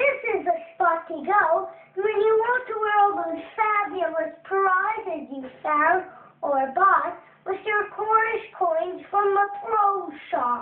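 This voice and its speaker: In a put-on character voice, the speaker talks at an extremely high pitch and a fairly slow pace. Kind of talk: game tutorial announcer. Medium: video game. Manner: upbeat, salesy.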